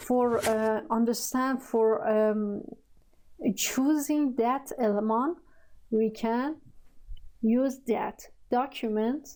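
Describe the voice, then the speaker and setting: A woman's high voice in a Persian accent, dark and mellow in tone, at a very slow pace with long, frequent pauses, fairly even intonation and very even loudness. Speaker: programming tutor. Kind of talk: tutorial. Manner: halting, many fillers.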